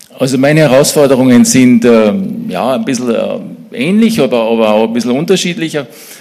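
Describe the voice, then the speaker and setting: A man at a fairly quick pace with very wide pitch swings, audible room echo, and noticeable background noise. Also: medium pitch for a man. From Austria, Salzburg region (Mittersill). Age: 60s. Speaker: church small-group leader, business manager. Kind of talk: church interview, personal testimony.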